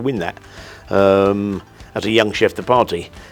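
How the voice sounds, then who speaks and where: A man speaks with a fairly low voice. Noticeable noise sits in the background. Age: 60s. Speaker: chef. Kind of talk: interview. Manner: halting, with many repeated words.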